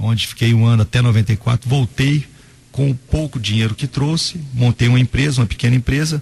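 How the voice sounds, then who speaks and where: Somewhat breathy, a man talks at a medium pitch and fairly quick pace with fairly even intonation. His loudness stays very even, and the sound is dry and close with no echo. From Brazil, Goiás (Inhumas). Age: 30s. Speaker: mayor-elect and lawyer. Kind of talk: radio interview. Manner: halting, with fillers and repetitions.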